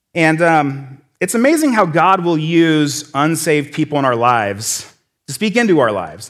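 On a very clean recording with a silent background, a man with an American accent speaks at a fairly quick pace, his fairly high pitch, lively intonation and animated tone all standing out. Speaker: church lay speaker. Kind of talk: sermon. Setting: stage with audience. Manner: fast.

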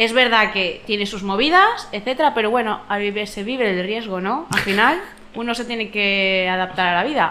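Audible room echo surrounds a woman speaking at a moderate pace in a fairly high pitch with ordinary pitch variation. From Valencia. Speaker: podcast panelist. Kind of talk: casual chat.

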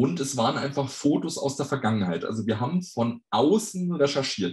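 Somewhat breathy, a man talks at a medium pitch. His intonation is lively. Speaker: fan website operator and tour guide. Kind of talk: podcast interview.

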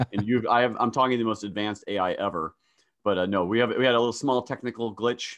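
A man speaks in a playful tone at medium pitch. His pace is very fast. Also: fairly even intonation. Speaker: podcast host. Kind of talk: casual interview. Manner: joking, playful.

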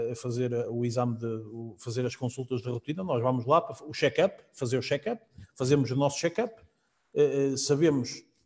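This man's medium-pitched, somewhat breathy voice moves at a fairly quick pace with ordinary pitch variation. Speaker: real estate agent. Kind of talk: live-streamed casual panel chat. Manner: halting, repeats words.

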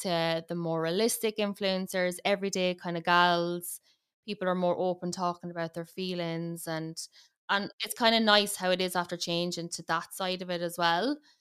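Speaking in a strong Irish accent, a woman uses a fairly low pitch and monotone, flat intonation at a moderate pace. The recording is very clean, with a silent background. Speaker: makeup artist and influencer. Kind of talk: casual chat.

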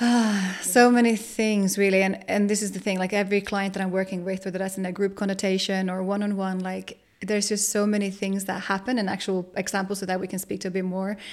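The speech runs at a very fast pace with hardly any pauses. Intonation is monotone and flat over noticeable background noise. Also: woman, medium pitch for a woman. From Finland. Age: 30s. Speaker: sensual empowerment coach. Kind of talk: podcast interview. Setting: video recording, in person.

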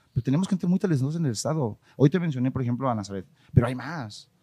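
Speaking at a very fast pace, a man uses a dark, mellow tone at medium pitch. The recording is very clean, with a silent background and a dry, close sound with no echo. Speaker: marketing agency owner. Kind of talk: casual interview chat. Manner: halting, repeats words.

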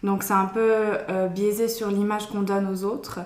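With monotone, flat intonation, a woman of medium pitch speaks at a moderate pace amid audible room echo and noticeable background noise. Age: 20s. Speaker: early childhood educator. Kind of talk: interview. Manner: halting.

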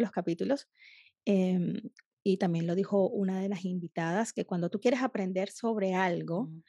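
A woman speaks fairly quickly at medium pitch with ordinary pitch variation, in a dry, close recording with no echo and a quiet background. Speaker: podcast host, food photographer. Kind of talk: interview. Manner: animated.

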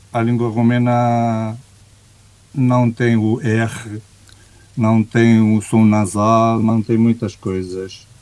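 A man's medium-pitched voice at a very slow pace, in a monotone, flat intonation with long, frequent pauses. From Romania. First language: Romanian (speaking Portuguese). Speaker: executive coach. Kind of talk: interview conversation.

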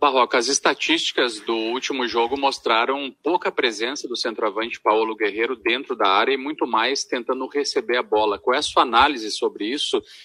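Bright and sharp in tone, a man talks at a medium pitch and moderate pace with ordinary pitch variation and hardly any pauses, the sound dry and close with no echo. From Rio Grande do Sul, Brazil (Santa Maria). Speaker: sports reporter. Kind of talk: radio sports debate.

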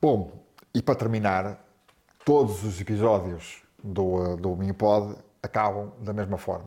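At a fairly slow pace with long, frequent pauses, a man speaks in a fairly low, dark, mellow voice with fairly even intonation. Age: 50s. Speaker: podcast host. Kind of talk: casual interview. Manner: halting, many repetitions.

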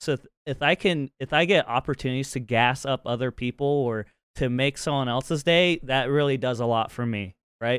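This man has a medium pitch and an American accent, speaking at a moderate pace with ordinary pitch variation. The recording is very clean, with a silent background and a dry, close sound with no echo. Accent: slight Utah twang, mostly masked. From Utah. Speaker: podcast host and streamer. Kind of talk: casual chat. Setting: call.

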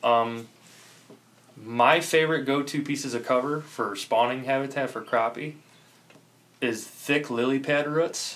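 Amid noticeable background noise, a man with an American accent and a fairly high pitch talks at a fairly slow pace, with fairly even intonation and long, frequent pauses. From Chicago south side suburbs, Illinois. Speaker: angler. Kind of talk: casual chat.

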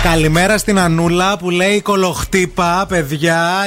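A man speaks in a high pitch with noticeable background noise behind him. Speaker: radio host. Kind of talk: casual chat. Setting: studio. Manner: animated.

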